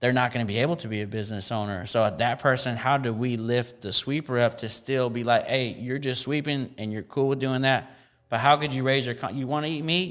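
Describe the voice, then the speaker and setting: Speaking with an American accent, a man with a plain, everyday voice keeps a fairly quick pace and hardly any pauses, his medium pitch showing ordinary variation. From Central California (Tracy). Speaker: hip hop artist and activist. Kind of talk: casual chat.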